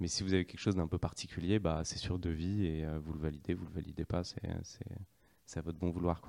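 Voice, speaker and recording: A man speaks with a very deep, low pitch and a dark, mellow tone. His delivery is monotone and flat, at a moderate pace with hardly any pauses. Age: 30s. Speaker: startup co-founder. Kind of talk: interview. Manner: hesitant, with fillers.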